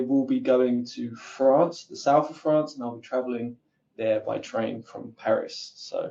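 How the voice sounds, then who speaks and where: The speaker has an Essex accent. The pace is fairly slow. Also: man. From England, Essex. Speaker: content marketer. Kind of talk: webinar panel talk. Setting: online webinar.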